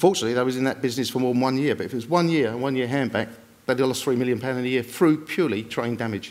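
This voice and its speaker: Speaking at a very fast pace, a man uses ordinary pitch variation. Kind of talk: panel presentation. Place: stage. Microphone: podium.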